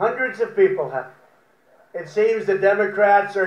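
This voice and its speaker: A man speaks in a high voice with fairly even intonation. Audible echo from the room surrounds him. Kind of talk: prepared humorous speech. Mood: wry, joking. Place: garden. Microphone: podium.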